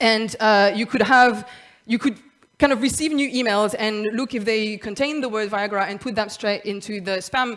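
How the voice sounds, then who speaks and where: The speaker is a woman with a fairly high pitch. Her pitch shows ordinary variation. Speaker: conference speaker, software developer. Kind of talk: conference talk. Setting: stage with audience. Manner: fast.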